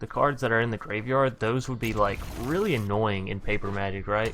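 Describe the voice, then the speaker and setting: Someone with a Southern US accent speaks at a moderate pace with ordinary pitch variation. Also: man. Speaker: gaming youtuber. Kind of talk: gameplay commentary. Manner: words jumbling together.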